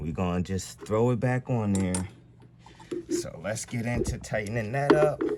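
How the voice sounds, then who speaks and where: Moderate pace over noticeable background noise. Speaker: DIY mechanic vlogger. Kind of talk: tutorial. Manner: casual, halting.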